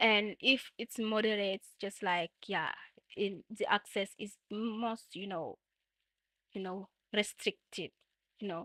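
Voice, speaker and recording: Very slow, with long, frequent pauses, a speaker with a French accent uses a bright, sharp tone and fairly even intonation, recorded dry and close with no echo against a very clean, silent background. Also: woman, medium pitch for a woman. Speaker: gaming streamer. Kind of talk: livestream tutorial. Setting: livestream. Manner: halting, many fillers.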